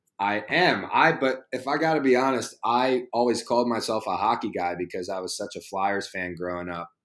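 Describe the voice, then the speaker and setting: Over a silent background on a very clean recording, a man with an American accent speaks at a moderate pace. He has an unremarkable speaking voice at medium pitch, with lively intonation. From Philadelphia area, US. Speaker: professional soccer player. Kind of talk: interview.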